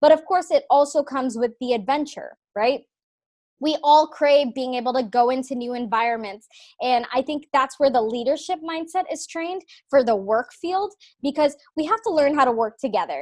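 A woman's high-pitched voice at a moderate pace, lively in intonation. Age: 20s. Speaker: fitness app founder. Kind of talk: interview.

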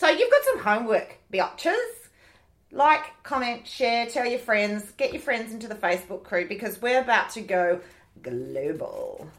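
A woman at a moderate pace, with an Australian accent and big swings in loudness. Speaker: podcast host and author. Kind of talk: casual chat.

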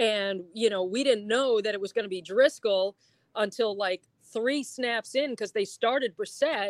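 A woman's normal speaking voice, fairly high in pitch, at a moderate pace, in a very clean recording with a silent background and a dry, close sound with no echo. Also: ordinary pitch variation. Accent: American. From upstate New York. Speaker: TV sports director. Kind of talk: casual interview.

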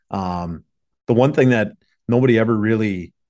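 A man in a normal speaking voice talks with an American accent at a moderate pace. His pitch variation is ordinary, and the background is quiet. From Minnesota Iron Range, US. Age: 30s. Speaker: hockey goalie coach. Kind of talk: casual interview.

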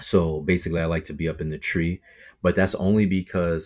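A man with a New York accent speaks in a monotone, flat way at a very deep, low pitch. The recording is very clean, with a silent background. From New York City, Brooklyn. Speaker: bow hunter and podcaster. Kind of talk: casual interview.

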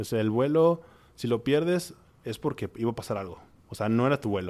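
A man at medium pitch and a fairly quick pace. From Monterrey, Mexico. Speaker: gastronomy entrepreneur and teacher. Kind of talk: interview. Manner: halting.

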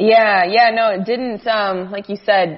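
Against noticeable background noise, a woman speaks at a fairly slow pace with fairly even intonation. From Arizona, US (Phoenix). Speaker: sports journalist. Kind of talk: casual chat. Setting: Skype call. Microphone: slightly echoey audio.

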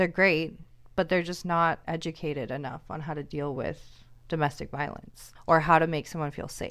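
A woman with a very deep, low pitch speaks at a moderate pace on a very clean recording with a silent background. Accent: American. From US Pacific Northwest, Seattle. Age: 20s. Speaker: hairstylist and mother. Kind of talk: casual chat.

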